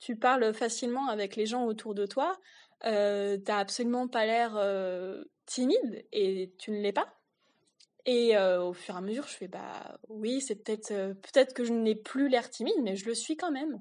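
Against a quiet background, a woman with a fairly high pitch and ordinary pitch variation speaks at a fairly slow pace in an ordinary speaking voice. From rural France. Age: 20s. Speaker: podcast co-host. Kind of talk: personal storytelling. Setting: solo home recording.

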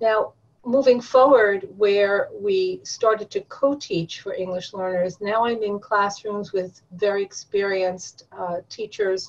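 A woman uses a normal speaking voice, medium in pitch, talking at a fairly slow pace with fairly even intonation. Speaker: college professor and former ESL teacher. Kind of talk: interview conversation.

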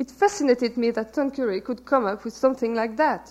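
High-pitched female voice with a French accent. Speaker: novelist. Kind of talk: reading aloud. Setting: stage with audience.

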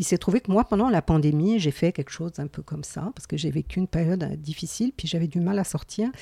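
A woman speaks very fast with hardly any pauses, in a fairly low, somewhat breathy voice with a dark, mellow tone. Her intonation is lively, and the sound is dry and close with no echo. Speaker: podcast co-host, mental health community worker. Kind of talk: casual chat.

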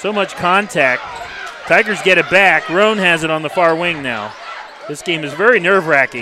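A high-pitched man with lively intonation over noticeable background noise. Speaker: radio play-by-play announcer. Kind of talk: live sports commentary, rapid play-by-play call with ad reads. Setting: courtside broadcast booth at a high school gym. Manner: nervous energy, admits to sounding calmer than he feels.

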